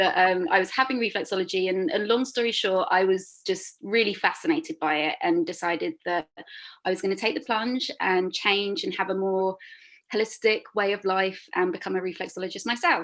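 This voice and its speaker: A woman with a London accent speaks at a fairly quick pace in a medium-pitched voice with ordinary pitch variation, in a very clean recording with a silent background. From London, England. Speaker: reflexologist. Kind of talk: interview. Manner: hesitant, many fillers.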